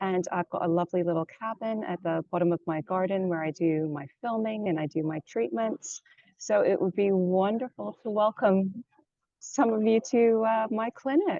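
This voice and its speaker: In a Canadian accent, a woman speaks at a moderate pace with a medium pitch and lively intonation. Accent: Canadian-sounding. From London, England. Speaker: yoga teacher and energy healer. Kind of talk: interview.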